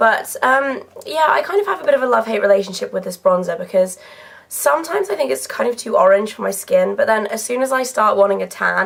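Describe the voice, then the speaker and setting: A woman at a very fast pace, with noticeable background noise. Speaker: beauty YouTuber. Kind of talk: casual product review. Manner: chatty, filler-heavy.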